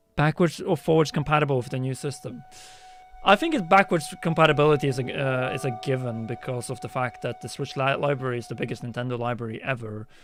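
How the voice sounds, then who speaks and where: A man's very fast speech at medium pitch, with ordinary pitch variation and music in the background. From Norway. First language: Norwegian or Polish. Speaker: gaming YouTuber. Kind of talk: livestream chat. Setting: livestream. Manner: casual, thinking aloud.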